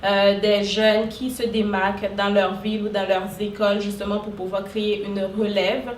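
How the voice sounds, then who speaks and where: A woman with a medium-pitched voice speaks at a fairly slow pace in a flat monotone, with audible room echo and noticeable background noise. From Haiti. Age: 20s. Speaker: social worker and entrepreneur. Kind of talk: interview. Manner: hesitant, many fillers.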